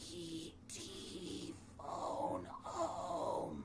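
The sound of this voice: Raspy put-on character voice over loud background noise.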